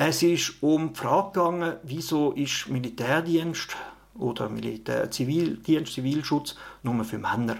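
A plain, everyday voice from a man, fairly high-pitched, its pitch variation ordinary. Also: fairly slow pace. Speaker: politician and podcast host. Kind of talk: solo podcast monologue.

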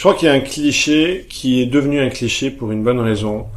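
Speaking with fairly even intonation, a man uses a medium pitch. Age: 40s. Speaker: couples communication coach. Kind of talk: casual chat. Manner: halting.

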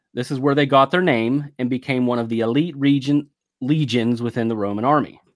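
With an ordinary speaking voice, a man talks at a fairly quick pace and keeps his intonation fairly even. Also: medium pitch for a man. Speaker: podcast narrator. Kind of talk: history documentary narration. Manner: measured, formal, authoritative storytelling.

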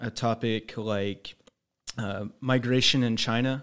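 Against a very clean recording with a silent background, a man with an American accent uses an ordinary speaking voice at medium pitch, with fairly even intonation and a fairly slow pace. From Indiana. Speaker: student news reporter. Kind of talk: casual interview. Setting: studio.

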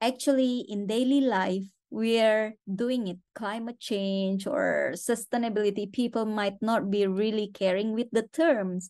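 A woman's fairly high-pitched voice with a dark, mellow tone and an Indonesian accent, over a quiet background. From Indonesia (West Borneo). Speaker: conservation organization director. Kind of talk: interview. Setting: remote call from a hotel.

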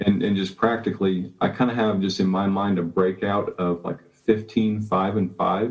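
A man with a fairly low pitch, monotone, flat intonation and a moderate pace. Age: 30s. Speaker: chemical plant worker. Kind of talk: casual group discussion.

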